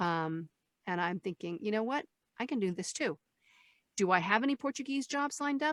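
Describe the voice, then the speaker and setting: In a very clean, dry, close recording with a silent background and no echo, a woman speaks fairly fast at a fairly high pitch, with very wide pitch swings and long, frequent pauses. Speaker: voice actress. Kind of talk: interview answer. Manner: conversational, talkative.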